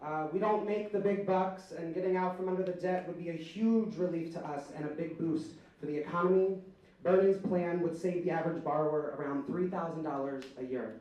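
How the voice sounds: The tone is dark and mellow, with fairly even intonation. The pace is fairly quick, and room echo is audible.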